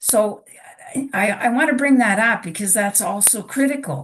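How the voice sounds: This woman's voice is raspy with a fairly bright tone and medium pitch. She talks at a moderate pace with ordinary pitch variation.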